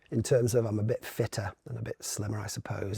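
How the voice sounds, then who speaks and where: The recording of this man is dry and close, with no echo. His voice is somewhat breathy. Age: 50s. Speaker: brand consultant and entrepreneur. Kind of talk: podcast interview. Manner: fast.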